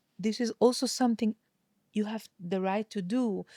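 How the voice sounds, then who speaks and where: This woman's intonation stays flat and monotone. She has a non-native accent. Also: dry, close sound with no echo. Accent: non-native English, admits imperfect English. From Hungary. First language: Hungarian. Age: 40s. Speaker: singer and voice teacher. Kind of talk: interview conversation. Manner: expressive, varies tone deliberately; halting, repeats words.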